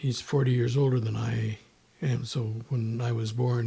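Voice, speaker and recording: Somewhat breathy and dark, mellow in tone, a man speaks at medium pitch with an American accent in a monotone, flat intonation. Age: 80s+. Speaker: podcast guest. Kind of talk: casual interview. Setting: in person at host's home. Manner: halting, many fillers and restarts.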